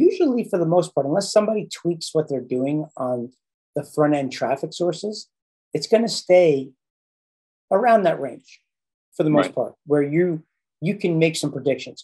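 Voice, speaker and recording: Against a quiet background, a man with a dark, mellow tone talks at a moderate pace with ordinary pitch variation. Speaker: marketing coach. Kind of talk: explanatory call conversation. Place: home room. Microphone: studio mic.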